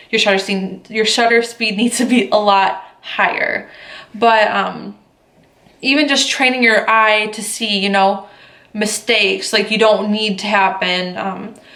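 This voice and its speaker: The speaker's intonation stays fairly even. Noticeable background noise and audible room echo fill the recording. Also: woman, fairly high pitch for a woman. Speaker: photographer and vlogger. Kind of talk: casual vlog talk to camera. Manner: many fillers like um and like.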